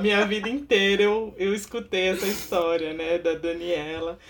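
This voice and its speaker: Noticeable background noise fills the clip. Through it, a woman talks at a medium pitch with ordinary pitch variation. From Baixada Santista, São Paulo state, Brazil. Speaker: podcast co-host, social worker. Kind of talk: interview.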